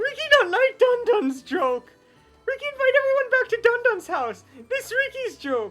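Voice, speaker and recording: Over faint background music, a put-on character voice speaks at an extremely high pitch and a moderate pace. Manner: silly, third-person speech.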